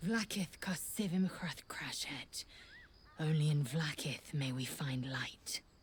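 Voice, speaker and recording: Using a put-on character voice, a woman talks fairly slowly at a very deep, low pitch. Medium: video game. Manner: clipped, harsh.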